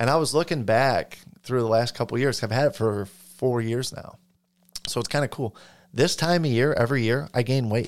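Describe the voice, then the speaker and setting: On a very clean recording with a silent background, a man speaks in an unremarkable speaking voice at a medium pitch with ordinary pitch variation. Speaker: podcast co-host. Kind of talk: casual chat.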